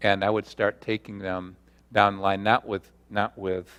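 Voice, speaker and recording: A man's fairly low, monotone voice with flat intonation at a moderate pace, in a very clean recording with a silent background. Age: 60s. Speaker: pastor and seminary teacher. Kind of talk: workshop talk with Q&A.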